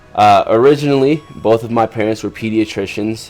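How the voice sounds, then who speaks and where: Music plays in the background as a man speaks in a General American accent. His pitch is fairly low, with ordinary pitch variation. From Las Vegas, US (Cuban-born, moved at age 3). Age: 20s. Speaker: medical student YouTuber. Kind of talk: casual vlog storytelling. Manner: casual, filler-heavy.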